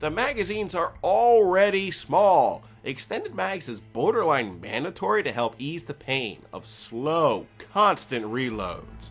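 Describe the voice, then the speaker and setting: A man talks with very wide pitch swings while music plays in the background. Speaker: gaming video reviewer. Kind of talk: game review narration.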